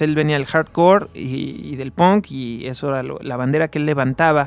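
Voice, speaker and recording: Heard in a dry, close sound with no echo, a man has an unremarkable speaking voice with a fairly high pitch, ordinary pitch variation, and a moderate pace. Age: 20s. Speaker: radio music show co-host. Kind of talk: casual chat.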